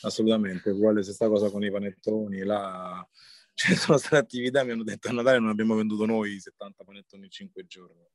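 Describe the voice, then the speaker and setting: At a very fast pace, a man with fairly low pitch and fairly even intonation speaks in a dry, close sound with no echo, his loudness swinging widely. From Rome, Italy. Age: 30s. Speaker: chef and rapper. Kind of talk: interview.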